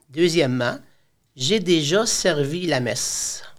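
There is audible room echo as a man with a high pitch speaks with lively intonation. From Quebec. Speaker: high school teacher. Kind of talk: casual interview. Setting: studio. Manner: talkative.

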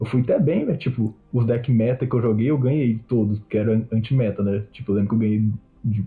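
With an ordinary speaking voice, a man talks at medium pitch and a moderate pace with ordinary pitch variation. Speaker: card game player. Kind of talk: casual chat.

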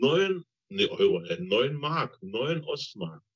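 A man's medium-pitched voice moves through very wide pitch swings. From East Germany. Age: 60s. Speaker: retired train driver, former GDR escapee. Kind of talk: interview testimony.

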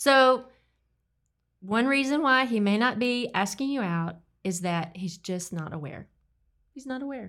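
A woman talks at a fairly slow pace with lively intonation. The recording is very clean, with a silent background. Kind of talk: casual chat. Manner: animated.

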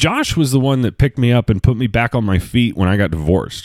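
The man keeps a moderate pace as he talks. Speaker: podcast host. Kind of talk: casual solo monologue. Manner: casual, rambling.

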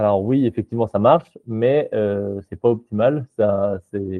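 The voice belongs to a man and sits fairly low in pitch. It varies in pitch in an ordinary way. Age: 20s. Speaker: startup co-founder. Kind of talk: interview. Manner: halting.

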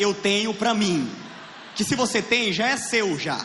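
A man speaks with a high voice. Noticeable background noise and audible room echo come through in the recording. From Piauí, Brazilian Northeast. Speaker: stand-up comedian. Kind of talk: stand-up. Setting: stage with audience. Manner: animated.

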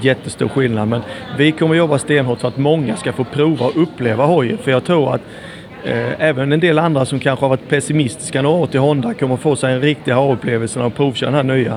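A man talks at a very fast pace with medium pitch and fairly even intonation. His loudness stays very even against noticeable background noise. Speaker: former motocross racer and dealer. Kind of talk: casual chat. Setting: airport.

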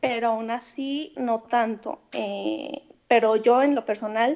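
At a very slow pace, a woman speaks in a fairly high pitch with fairly even intonation. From Mexico, Guadalajara. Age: 20s. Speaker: former student abroad. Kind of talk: interview.

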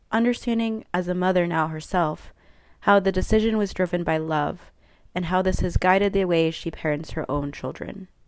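This woman has a normal speaking voice with ordinary pitch variation, captured on a very clean recording with a silent background. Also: medium pitch for a woman, moderate pace. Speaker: podcast host. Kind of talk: scripted intro and outro narration.

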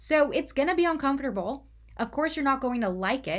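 Speaking at a fairly quick pace with lively intonation and vocal fry, a woman comes through on a very clean recording against a silent background. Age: 20s. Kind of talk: solo faith talk podcast.

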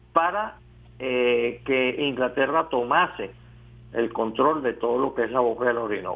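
With a plain, everyday voice, a man at a medium pitch speaks at a fairly slow pace with ordinary pitch variation. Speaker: historian. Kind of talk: interview.

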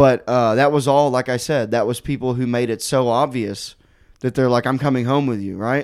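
A man's plain, everyday voice at medium pitch, with fairly even intonation and a moderate pace, on a very clean recording with a silent background. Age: 30s. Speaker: stand-up comedian. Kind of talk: casual chat.

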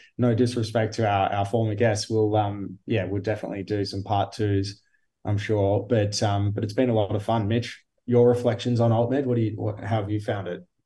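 Against a quiet background, a man with an Australian accent talks at a fairly quick pace in a fairly low, dark, mellow, somewhat breathy voice with monotone, flat intonation. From Geelong, Victoria, Australia. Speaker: podcast host and company director. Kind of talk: casual interview chat.

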